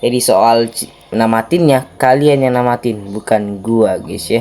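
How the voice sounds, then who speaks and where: Noticeable background noise sits behind a man of medium pitch. His intonation stays fairly even. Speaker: gaming youtuber. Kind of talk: gameplay commentary. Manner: casual, informal slang.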